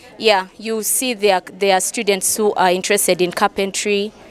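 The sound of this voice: At a moderate pace, a woman speaks at medium pitch with little pitch movement.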